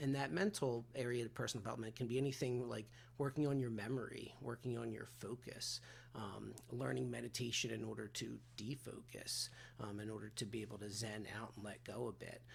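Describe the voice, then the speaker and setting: At a fairly quick pace, a man speaks with a medium pitch, vocal fry and fairly even intonation. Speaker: recovery and personal development coach. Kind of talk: solo talking-head coaching talk. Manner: fast; casual with many filler words.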